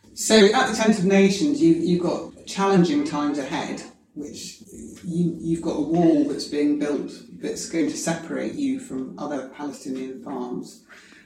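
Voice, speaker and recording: At a moderate pace, a woman talks with a fairly low pitch, very wide pitch swings and big swings in loudness. The recording has noticeable background noise and audible room echo. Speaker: podcast host. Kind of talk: interview. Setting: noisy room. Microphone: poor audio quality.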